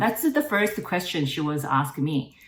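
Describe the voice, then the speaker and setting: A woman with a Korean accent. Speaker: network marketing distributor, former nurse. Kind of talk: interview. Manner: halting.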